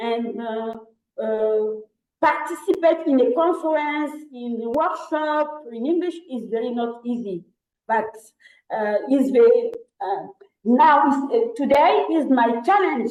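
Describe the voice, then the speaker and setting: A woman speaks with a high voice. Her pace is fairly slow. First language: French. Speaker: scientist, panelist. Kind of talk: panel discussion. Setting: online video session. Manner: halting.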